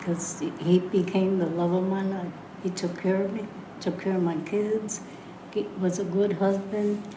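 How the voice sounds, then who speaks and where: Over noticeable background noise and audible room echo, a woman speaks at a medium pitch and moderate pace in a flat monotone. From Puerto Rico. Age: 80s+. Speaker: podcast guest, grandmother. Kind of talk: casual chat.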